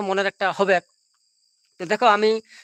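A man with a high voice speaks in a dry, close recording with no echo, very clean and set against a silent background. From India, West Bengal, Purulia. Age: 30s. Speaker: live streamer. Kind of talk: casual live stream chat. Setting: live stream. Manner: repetitive, rambling.

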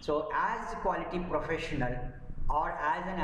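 A man's high voice at a fairly slow pace, with audible room echo and light background noise. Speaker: quality management trainer. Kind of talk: lecture.

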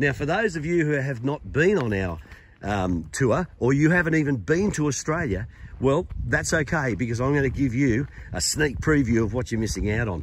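Vocal fry at a moderate pace, with a dry sound free of echo and light background noise. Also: man. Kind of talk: casual vlog chat, tour guide promotion. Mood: upbeat, enthusiastic. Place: open country. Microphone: phone near.

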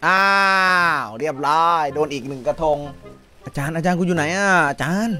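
A man, with faint music in the background. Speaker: game streamer. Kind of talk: casual gaming stream chat. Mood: playful, laughing, mock angry. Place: home room.

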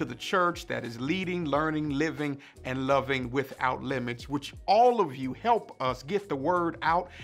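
This man talks at a fairly slow pace with ordinary pitch variation. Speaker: senior pastor. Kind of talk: worship welcome and announcements. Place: office.

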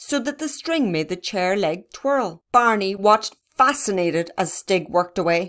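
This is reading aloud in a natural voice with lively intonation. The background stays quiet.

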